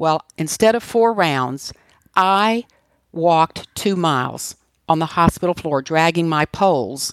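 In a very clean recording with a silent background and a dry, close sound with no echo, a woman with an American accent speaks in an ordinary speaking voice, her intonation lively. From US, Washington, D.C. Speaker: author and cancer survivor. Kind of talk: interview.

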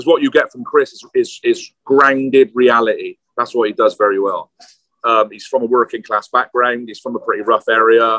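This man speaks with a British accent, his loudness swinging widely, in a dry, close recording with no echo. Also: moderate pace. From UK, London. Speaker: film director and writer. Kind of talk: casual interview chat. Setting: outside a pub, noisy, video or phone call.

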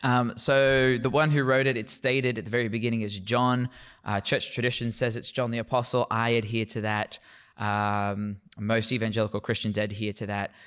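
A man speaks with an Australian accent at medium pitch. His pace is moderate and his intonation fairly even. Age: 30s. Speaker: Bible lecturer. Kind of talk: interview on theology. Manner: repetitive, halting at times.

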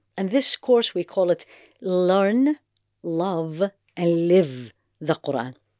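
A woman with an Arabic accent speaks very slowly, with long, frequent pauses and very wide pitch swings in a fairly low, dark, mellow voice. The sound is dry and close, with no echo. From Iraq, Baghdad. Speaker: Islamic teacher and physician. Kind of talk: interview.

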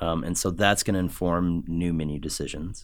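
This man has an American accent. His pitch is very deep and low. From Omaha, Nebraska (US Midwest). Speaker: chef and culinary instructor. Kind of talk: casual interview. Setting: studio. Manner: hesitant, many fillers.

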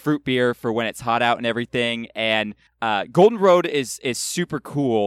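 A man with an unremarkable speaking voice and an American accent talks at a medium pitch and a moderate pace with ordinary pitch variation, on a very clean recording with a silent background and a dry, close sound with no echo. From California. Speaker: guest podcaster. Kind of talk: casual chat.

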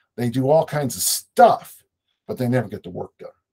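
Lively intonation marks this man's medium-pitched voice at a moderate pace. The sound is dry and close, with no echo. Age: 60s. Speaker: strength coach and author. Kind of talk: casual interview conversation.

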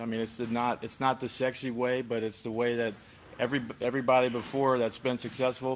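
A man at medium pitch delivers his words in a monotone, flat intonation at a fairly quick pace. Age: 20s. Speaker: former pro football player. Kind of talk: casual interview.

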